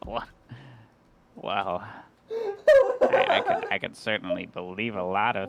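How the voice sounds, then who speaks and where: In a put-on character voice, the speaker moves at a moderate pace with long, frequent pauses. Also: man. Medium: actual play. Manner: hesitant, stammering.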